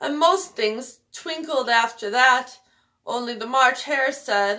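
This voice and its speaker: Doing a shaky, put-on character voice, a woman speaks in a high pitch at a fairly slow pace. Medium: read story. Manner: trembling, anxious.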